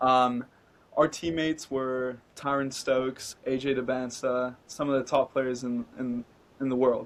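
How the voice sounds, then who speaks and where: Here a man talks at a medium pitch with monotone, flat intonation. His pace is fairly slow. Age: 20s. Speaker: business founder, former basketball player. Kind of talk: casual interview.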